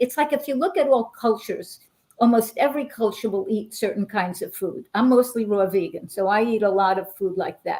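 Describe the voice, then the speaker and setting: A woman with a New York accent speaks at a fairly quick pace with fairly high pitch. Her tone is dark and mellow, her intonation lively. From New York, Brooklyn. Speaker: intuitive healer. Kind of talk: interview. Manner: animated.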